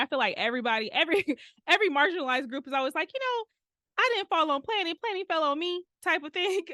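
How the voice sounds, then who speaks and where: A woman with a Detroit accent talks at a very fast pace in a raised, projected voice with a bright, sharp, animated tone. Her pitch swings very widely, and the sound is dry and close with no echo. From Detroit, US Midwest. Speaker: urban planner. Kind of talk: podcast interview. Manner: casual, animated.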